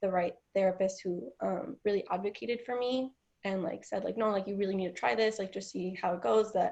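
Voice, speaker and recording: A woman with an ordinary speaking voice talks with lively intonation over a quiet background. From Washington State, US (Mexican family). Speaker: college student. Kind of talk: interview. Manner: filler-heavy ('um', 'like').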